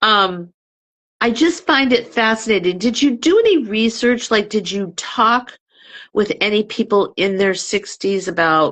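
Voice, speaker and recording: A woman talks in a medium pitch with a plain, everyday voice. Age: 60s. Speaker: book reviewer hosting author interviews. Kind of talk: casual interview chat.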